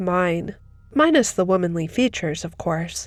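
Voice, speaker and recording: Recorded very cleanly with a silent background, a woman speaks in a plain, everyday voice. Her pace is fairly slow, with ordinary pitch variation. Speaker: narrator. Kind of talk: horror story narration.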